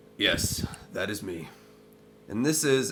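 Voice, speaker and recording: A man puts on a character voice at a medium pitch. It sounds raspy. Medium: actual play. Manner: formal, proper.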